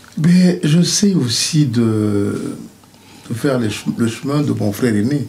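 Delivered at a very slow pace with long, frequent pauses, the speech has lively intonation. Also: man. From Cameroon, Douala. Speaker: bassist. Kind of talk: interview. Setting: studio. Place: studio.

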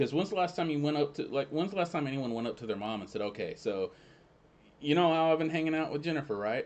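With a Southern US accent, a man talks at a very fast pace with lively intonation. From US South. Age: 30s. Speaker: friend of the host. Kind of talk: casual chat. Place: home room. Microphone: studio mic.

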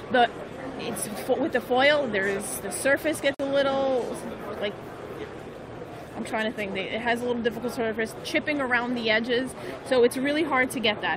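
A woman speaks at a moderate pace with ordinary pitch variation and long, frequent pauses, her voice dry with no echo while crowd noise runs in the background. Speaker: livestream host. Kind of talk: live stream commentary. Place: hall.

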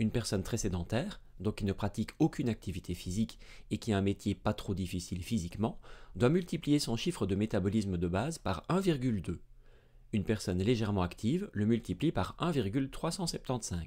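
Against a quiet background, a man with a fairly low pitch and a dark, mellow tone speaks at a moderate pace with lively intonation. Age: 30s. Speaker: medical doctor and science educator; science educator. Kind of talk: educational video lecture. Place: studio. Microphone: studio mic.

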